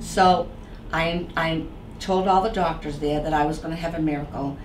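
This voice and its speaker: Against noticeable background noise, a woman with an American accent speaks in a very deep, low pitch with fairly even intonation. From Boston area. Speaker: author. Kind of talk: interview answer.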